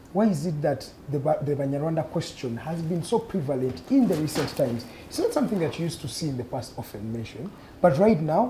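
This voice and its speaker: Very fast speech from a man with a fairly high voice, over light background noise. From Uganda. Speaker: TV talk show host. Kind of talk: political panel debate moderation. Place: studio. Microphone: lapel.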